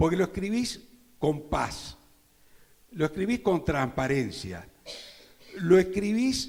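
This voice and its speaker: High pitched and lively in intonation, a man speaks at a very slow pace with long, frequent pauses. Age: 70s. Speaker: advertising copywriter presenting a novel. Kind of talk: book launch presentation speech.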